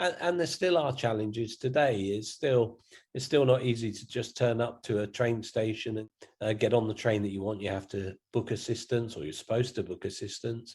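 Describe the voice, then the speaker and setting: A man speaks in a southern English accent at medium pitch, somewhat breathy, with ordinary pitch variation. The background is quiet. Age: 60s. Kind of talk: interview. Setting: video call.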